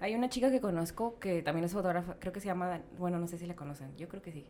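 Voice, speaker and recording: Over noticeable background noise, a woman talks very fast at a fairly low pitch with ordinary pitch variation. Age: 20s. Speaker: photographer. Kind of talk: casual chat.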